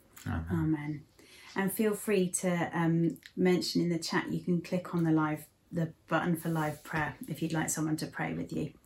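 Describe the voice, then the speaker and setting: A woman with an English accent talks at a moderate pace, her voice somewhat breathy and fairly low in pitch. Her intonation stays fairly even. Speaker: church service host. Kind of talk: casual chat and prayer. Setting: living room at home.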